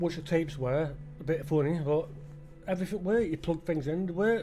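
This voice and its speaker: Speaking with a Potteries accent, a man uses a high pitch, a dark, mellow tone, fairly even intonation and a moderate pace. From England, the Potteries (Stoke-on-Trent). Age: 50s. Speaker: gaming YouTuber. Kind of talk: gameplay commentary rant. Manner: halting, many fillers and restarts.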